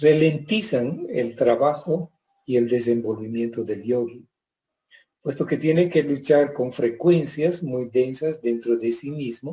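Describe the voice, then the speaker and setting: A man speaks very slowly in a fairly high, somewhat breathy voice. His tone is dark and mellow. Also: ordinary pitch variation. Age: 70s. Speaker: yoga teacher. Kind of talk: presentation. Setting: Facebook live.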